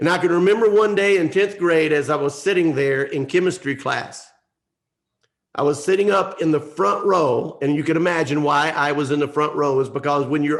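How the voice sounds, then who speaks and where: An unremarkable speaking voice: a man with an American accent, fairly high pitch, ordinary pitch variation and a moderate pace. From US South, North Georgia mountains. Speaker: motivational speaker. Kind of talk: motivational speech.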